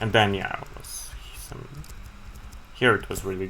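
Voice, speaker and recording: Noticeable background noise and audible room echo color the recording. A man talks at a moderate speed. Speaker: chess streamer. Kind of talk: live game commentary. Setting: live stream.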